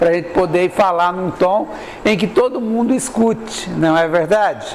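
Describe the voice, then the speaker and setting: Over noticeable background noise and audible room echo, a man talks at a fairly slow pace in a high pitch with ordinary pitch variation. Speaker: spiritist lecturer. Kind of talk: spiritual lecture. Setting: room with live audience. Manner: varying volume, sometimes drops voice.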